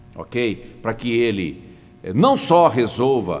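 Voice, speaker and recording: Audible room echo hangs around the speech. Its intonation stays lively. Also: man. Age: 60s. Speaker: pastor. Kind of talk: sermon. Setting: online broadcast.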